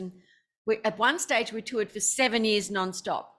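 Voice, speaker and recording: Someone with an Australian accent is heard on a very clean recording with a silent background. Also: woman. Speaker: author and musician. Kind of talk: interview.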